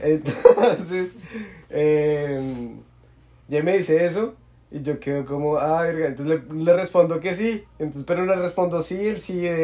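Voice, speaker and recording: A man's fairly high-pitched voice, dark and mellow in tone, at a very slow pace with ordinary pitch variation and long, frequent pauses. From Colombia. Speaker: university student, podcast guest. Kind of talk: casual chat.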